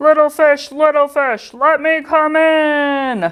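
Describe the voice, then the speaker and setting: A put-on character voice bellows at a high pitch and a fairly slow pace. The background is quiet. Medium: read story. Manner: roaring.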